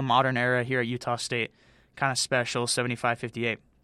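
In a very clean recording with a silent background, a man speaks in a bright, sharp, enthusiastic tone. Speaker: college radio sports host. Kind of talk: college radio sports show patter: chatty, improvised game recaps and station IDs. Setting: studio.

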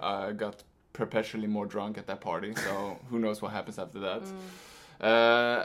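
With a Swedish accent, a man speaks at a moderate pace and a fairly low pitch. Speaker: podcast guest, boyfriend of co-host.

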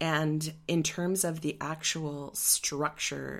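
Recorded very cleanly against a silent background, a woman speaks with fairly even intonation. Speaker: podcast host. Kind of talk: casual solo monologue. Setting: home recording at mic.

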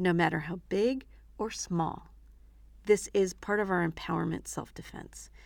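A woman speaks with a warm tone at a fairly slow pace. The recording is very clean, the background silent. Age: 60s. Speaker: self-defense instructor and podcast host. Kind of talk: motivational teaching monologue. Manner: warm, conversational.

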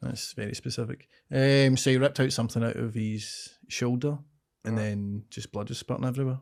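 A man speaks with a Scottish accent and fairly even intonation. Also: medium pitch for a man, fairly quick pace, very clean recording, silent background. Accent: Scottish (Ayrshire). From Scotland, Ayrshire. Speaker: comedian. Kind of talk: casual chat.

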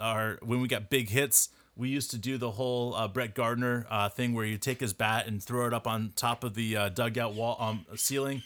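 Recorded very cleanly against a silent background, a man speaks at a moderate pace and a medium pitch. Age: 30s. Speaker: sports podcast co-host. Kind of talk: casual chat.

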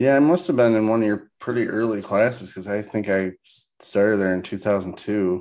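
Here is a man with an ordinary speaking voice and a fairly low pitch. He talks at a fairly quick pace with ordinary pitch variation against a quiet background. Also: hardly any pauses. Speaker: podcast host. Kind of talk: casual interview.

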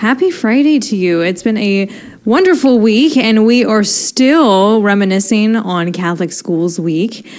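A woman with an unremarkable speaking voice talks at a fairly slow pace, her fairly high pitch carrying lively intonation. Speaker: radio host. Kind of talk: live radio hosting. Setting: radio studio.

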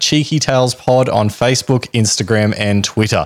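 A man's plain, everyday voice, medium in pitch, at a moderate pace. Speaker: podcast host. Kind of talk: scripted-style storytelling narration with casual banter.

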